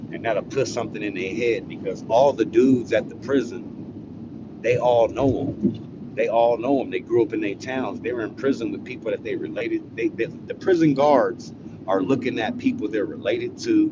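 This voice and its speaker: A man with an American accent speaks at a moderate pace, with hardly any pauses. Noticeable background noise runs under his voice. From California, Los Angeles. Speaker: live streamer, storyteller. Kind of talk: casual live-stream storytelling. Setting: live stream.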